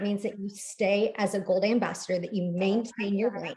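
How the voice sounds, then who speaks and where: A woman talks in a somewhat breathy voice. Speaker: MLM team leader. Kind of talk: team training call. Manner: animated.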